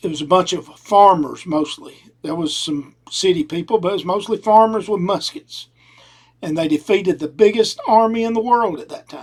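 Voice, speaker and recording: In a strong Southern US accent, a man speaks at a moderate pace and high pitch, with lively intonation and big swings in loudness. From US South. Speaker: podcast host. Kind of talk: opinion monologue. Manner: casual.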